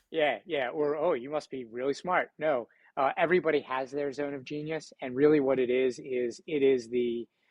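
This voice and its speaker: A man speaks at a moderate pace with a fairly high pitch. His intonation is fairly even and he hardly pauses. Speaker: entrepreneur and speaker. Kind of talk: podcast interview.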